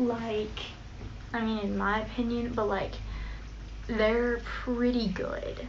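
A woman speaks slowly at a fairly high pitch, with little pitch movement. Audible room echo surrounds her voice.

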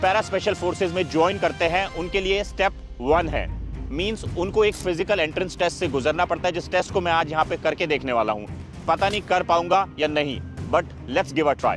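A man at a moderate pace, dry sound with no echo, clear music in the background. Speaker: fitness vlogger. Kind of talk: energetic vlog presentation to camera. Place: stadium. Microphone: lapel.

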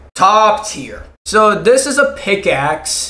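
A man speaks slowly in a high pitch, his bright, sharp tone moving through big pitch swings.

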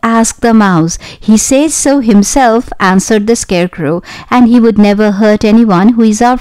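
An unforced reading voice carries ordinary pitch variation throughout.

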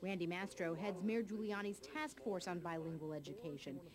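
Noticeable background noise behind a woman's voice at a medium speed. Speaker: TV news reporter. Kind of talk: news report narration.

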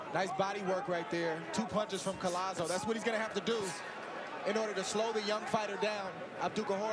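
A man talks at a very fast pace over loud background noise, the sound dry with no echo. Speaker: boxing color commentator. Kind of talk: commentary.

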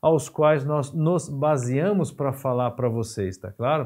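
Lively in intonation, a man speaks at a moderate pace over a quiet background. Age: 50s. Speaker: physiotherapy teacher. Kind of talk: lecture. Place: studio.

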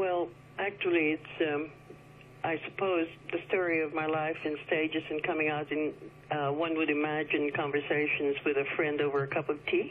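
The voice is monotone and flat in intonation, with very even loudness at a moderate pace. Light background noise sits behind it. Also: woman, very deep, low pitch for a woman. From China, Eurasian family. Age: 70s. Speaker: author and former political secretary. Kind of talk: radio interview. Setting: phone call. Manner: halting. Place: studio.

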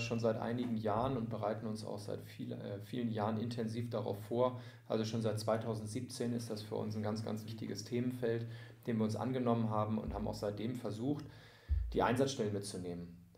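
A man's medium-pitched voice, monotone and flat, at a fairly quick pace with audible room echo. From near Hamburg, Lower Saxony, Germany. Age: 30s. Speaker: sports club volunteer service manager. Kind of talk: casual interview.

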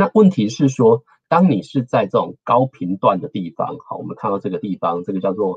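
Against a quiet background, a man's somewhat breathy voice moves at a moderate pace with very wide pitch swings. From Taiwan. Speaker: engineer and researcher giving a guest lecture; guest lecturer. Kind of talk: lecture. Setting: online talk. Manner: frequent fillers and hesitations. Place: home room. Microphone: webcam.

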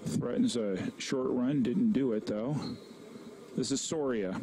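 Amid noticeable background noise, a man with a medium pitch and lively intonation speaks at a very slow pace, with long, frequent pauses. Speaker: college soccer play-by-play commentator. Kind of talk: live play-by-play soccer commentary. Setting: broadcast booth at a live college soccer match.

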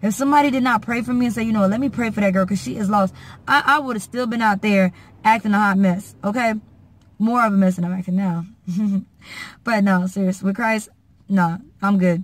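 Somewhat breathy, a woman with an American accent speaks at a fairly quick pace with ordinary pitch variation and long, frequent pauses, in a dry sound with no echo. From Haitian American. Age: 20s. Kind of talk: casual talk to camera. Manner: earnest, preachy. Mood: earnest, warm, preachy. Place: car. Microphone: phone near.

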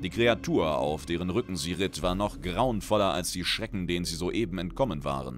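Over music in the background, a man with a very deep, low pitch talks at a moderate pace with lively intonation and hardly any pauses. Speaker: audiobook narrator. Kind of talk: dramatic narration of a fantasy short story, read aloud with character voices. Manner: animated, theatrical, voicing characters with exaggerated flair.

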